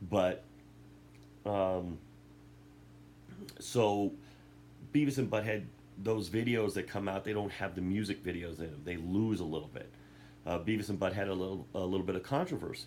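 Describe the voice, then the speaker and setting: The speaker talks at a moderate pace with lively intonation and vocal fry. Long, frequent pauses break up the speech. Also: man, very deep, low pitch for a man. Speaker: YouTuber. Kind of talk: casual monologue. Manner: halting.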